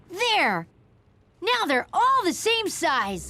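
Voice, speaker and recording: This cartoonish character voice is pitched extremely high. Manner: eager, chatty.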